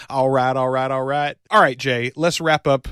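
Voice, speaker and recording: Recorded very cleanly with a silent background and a dry, close sound with no echo, a man with a Southern US accent speaks at a medium pitch with fairly even intonation. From US South. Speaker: podcast host. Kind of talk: casual chat.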